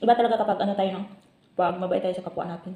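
Noticeable background noise fills the clip. The talking is very fast. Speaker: vlogger. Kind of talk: casual vlog while eating. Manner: chatty, talking with mouth full.

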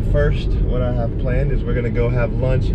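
Loud background noise runs beneath a man's speech. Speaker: travel vlogger. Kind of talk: casual vlog chat. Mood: cheerful, upbeat. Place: car. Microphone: phone near.

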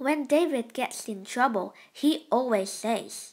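A woman's fairly high voice has a slightly mellow tone and lively intonation, moving at a slow pace.

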